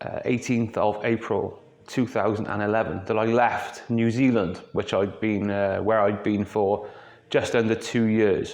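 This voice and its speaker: A fairly slow, monotone delivery from a man, medium in pitch, his intonation flat. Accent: Welsh. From Wales. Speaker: YouTube film vlogger. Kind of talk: unscripted casual monologue. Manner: off the cuff, conversational.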